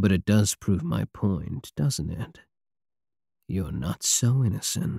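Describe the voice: A man puts on a character voice with a fairly low pitch, a dark, mellow tone, vocal fry and a slightly husky edge. He talks slowly with lively intonation, and the sound is dry and close with no echo.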